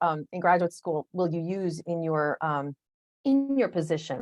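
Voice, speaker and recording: Her voice is an ordinary speaking voice, fairly low in pitch. The woman talks at a fairly slow pace. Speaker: association executive giving webinar talk. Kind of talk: webinar presentation. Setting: online webinar with screen share.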